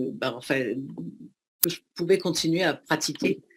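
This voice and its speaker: A woman speaks with fairly even intonation. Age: 60s. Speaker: former speed skier. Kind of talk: testimony. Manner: halting, many hesitations.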